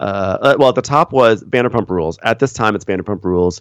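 A normal speaking voice from a man with an American accent, fairly low in pitch, with ordinary pitch variation, a fairly quick pace and a quiet background. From New York, Westchester. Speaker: podcast host and recapper. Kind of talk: casual interview chat.

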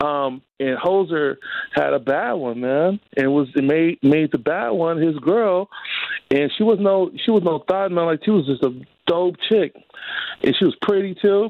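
A man speaks fairly slowly in a high voice with lively intonation. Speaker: friend of host, phone guest. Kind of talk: casual chat. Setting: phone call. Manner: slang-heavy, excitable.

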